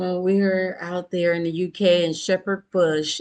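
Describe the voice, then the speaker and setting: At a fairly slow pace, a woman with an American accent and a medium pitch talks in an unremarkable speaking voice against a quiet background. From Michigan. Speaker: podcast host. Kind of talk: casual interview chat. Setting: virtual studio.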